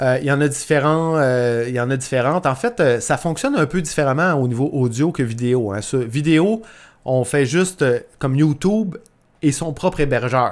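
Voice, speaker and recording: The recording is very clean, with a silent background. A man with a Quebec accent speaks at a moderate pace in a fairly high pitch with ordinary pitch variation. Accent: Québécois. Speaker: podcast host, entrepreneur. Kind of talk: solo podcast tutorial. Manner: casual, many fillers and repetitions.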